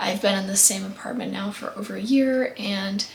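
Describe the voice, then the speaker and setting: Amid noticeable background noise and audible room echo, a woman speaks at medium pitch and a moderate pace. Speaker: lifestyle vlogger. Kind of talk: casual vlog monologue.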